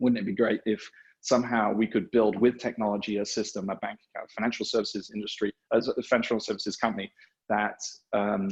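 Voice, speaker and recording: A man speaks very fast with an American accent. His intonation is monotone and flat. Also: fairly low pitch for a man. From England. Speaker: fintech CEO and founder. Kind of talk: podcast interview. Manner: halting, many fillers.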